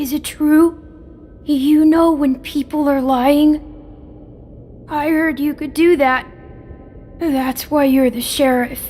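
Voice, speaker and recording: The speaker puts on a high-pitched character voice and goes at a fairly slow pace. Long, frequent pauses break up the speech, with clear background noise behind it. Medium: video game. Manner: gentle, soothing.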